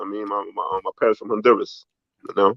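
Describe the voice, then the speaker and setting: This man talks with a Bronx accent. He keeps a fairly quick pace. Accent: New York, Bronx. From New York City, the Bronx. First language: Spanish. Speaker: documentary executive producer. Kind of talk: interview. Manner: casual, hesitant with many fillers.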